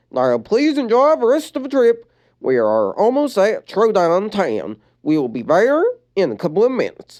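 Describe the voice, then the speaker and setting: A put-on character voice with a fairly high pitch, heard over a quiet background. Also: moderate pace. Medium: read story. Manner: polite, reassuring.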